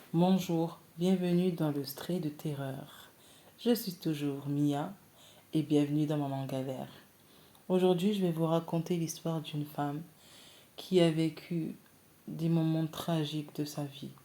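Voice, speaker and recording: At a very slow pace with long, frequent pauses, a woman speaks in a very deep, low pitch with a dark, mellow tone and fairly even intonation. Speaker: storyteller. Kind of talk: reading aloud.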